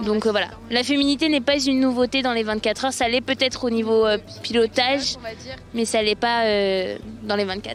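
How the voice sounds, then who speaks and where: Fairly quickly and with fairly even intonation, a woman with a fairly high voice speaks over noticeable background noise. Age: 20s. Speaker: amateur powerboat racer, law graduate. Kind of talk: interview.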